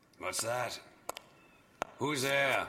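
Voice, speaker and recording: A man uses a raspy put-on character voice at a medium pitch. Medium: audio drama. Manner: terse, grudging.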